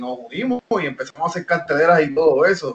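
At a moderate pace, a man with a fairly high pitch speaks in a normal speaking voice with lively intonation. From Puerto Rico. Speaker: professional wrestler. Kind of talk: interview.

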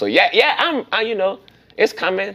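With noticeable noise in the background, a man talks animatedly. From New Orleans. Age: 40s. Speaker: event host and comedian. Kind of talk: casual interview.

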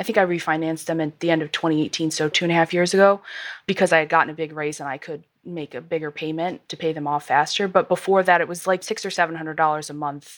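A woman with fairly even intonation. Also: very clean recording, silent background. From US small town. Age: 20s. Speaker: listener sharing money story. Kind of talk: interview. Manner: laughs often.

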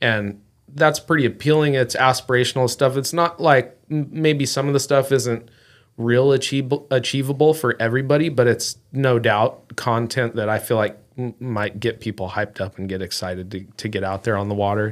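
In a very clean recording with a silent background, a man speaks at a moderate pace in a normal speaking voice, medium in pitch with ordinary pitch variation. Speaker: angler. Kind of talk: casual chat.

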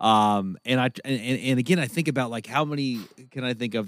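Heard on a very clean recording with a silent background, a man with an unremarkable speaking voice talks at a fairly quick pace, medium pitch and ordinary pitch variation. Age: 30s. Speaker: podcast co-host. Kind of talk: casual chat.

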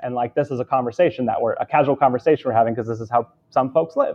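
A man at a very fast pace and medium pitch, with a West Coast American accent. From Southern California. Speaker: video storytelling business founder. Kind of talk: interview.

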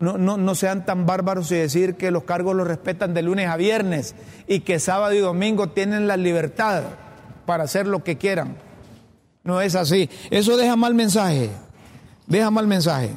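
At a moderate pace, a man with a high pitch talks with long, frequent pauses. His pitch variation is ordinary, and his loudness stays very even. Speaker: political commentary show host. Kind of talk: opinion commentary monologue.

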